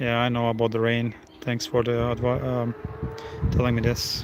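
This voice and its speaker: Against noticeable background noise, a man with a Croatian accent talks at a moderate pace with long, frequent pauses. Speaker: live streamer. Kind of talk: live stream chat. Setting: outdoors at a race track. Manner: loud when cars pass.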